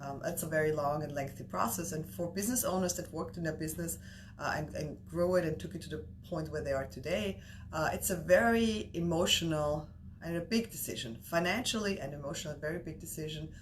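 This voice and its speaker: In an Austrian accent, a woman talks very fast with vocal fry, a very deep, low pitch and very wide pitch swings, and the room echo is audible. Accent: Austrian German accent, noticeable. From Austria, Vienna. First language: German. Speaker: business broker. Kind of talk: interview. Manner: many fillers and restarts.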